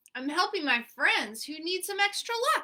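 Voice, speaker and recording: This is a put-on character voice with very wide pitch swings. It moves at a moderate pace. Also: woman, extremely high pitch for a woman. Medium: read story. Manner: easygoing, cool.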